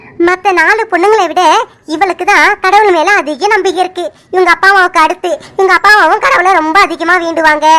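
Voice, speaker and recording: A woman puts on a cartoonish character voice at an extremely high pitch. She keeps a moderate pace and fairly even intonation. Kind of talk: folksy village storytelling. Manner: chatty, warm, conversational.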